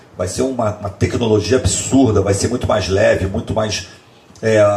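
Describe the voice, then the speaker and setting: A man talks at a moderate pace in a fairly low pitch, with noticeable background noise behind him. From Bahia, Brazil. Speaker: long-distance skateboard traveler. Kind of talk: casual podcast interview. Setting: podcast recorded in host's home. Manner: repeats words, filler-heavy.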